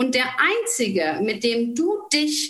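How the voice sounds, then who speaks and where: This woman's voice sits at a high pitch. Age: 40s. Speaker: nutrition coach. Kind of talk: interview.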